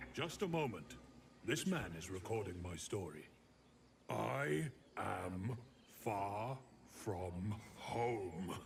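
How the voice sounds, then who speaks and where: Using a put-on character voice, a man speaks very slowly with long, frequent pauses over clear background noise. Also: fairly low pitch for a man. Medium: video game. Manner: plaintive, simple.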